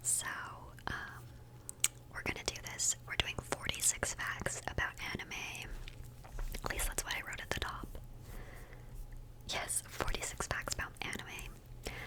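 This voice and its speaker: Someone whispers with long, frequent pauses over noticeable background noise. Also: woman. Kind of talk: ASMR fact video, calm relaxing narration; casual chatty rambling with asides. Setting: close microphone, studio. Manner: whispered.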